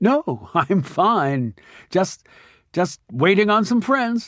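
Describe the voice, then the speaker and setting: Using a put-on character voice, a man speaks at a high pitch and a very slow pace, shaky and with very wide pitch swings, in a dry, close sound with no echo and a quiet background. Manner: nervous, shaky.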